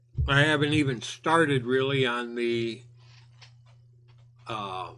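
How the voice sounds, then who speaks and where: Speaking very slowly with ordinary pitch variation, the voice has a bright, sharp tone and audible room echo. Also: man, medium pitch for a man. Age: 60s. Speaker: video game youtuber. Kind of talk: video rant.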